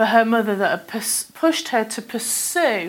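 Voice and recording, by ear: A natural voice is heard here. It is reading aloud.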